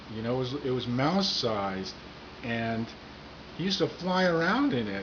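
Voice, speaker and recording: With very wide pitch swings at a fairly slow pace, the voice comes through noticeable background noise and audible room echo. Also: man. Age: 60s. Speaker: comedian. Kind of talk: casual monologue to camera.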